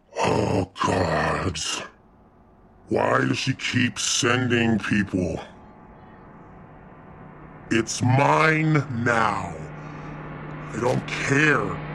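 Using a put-on character voice, the speaker moves at a very slow pace with long, frequent pauses. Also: man, medium pitch for a man. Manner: irritated, possessive.

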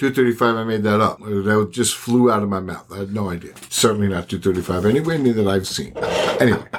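Noticeable background noise sits behind a man talking at a moderate pace with hardly any pauses. His pitch is fairly low, with ordinary pitch variation. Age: 50s. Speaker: podcast co-host. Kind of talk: casual chat.

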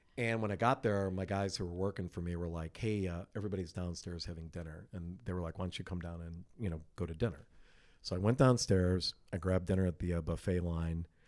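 Over a very clean recording with a silent background, a man with a very deep, low pitch speaks at a very fast pace with fairly even intonation. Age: 50s. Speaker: concert promoter. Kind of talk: casual chat. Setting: promoter's office.

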